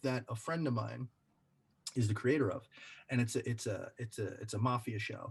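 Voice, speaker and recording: A somewhat breathy voice at a moderate pace, broken by long, frequent pauses. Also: man, medium pitch for a man. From Brooklyn, New York. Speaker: actor. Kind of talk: casual chat. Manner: halting, many repetitions.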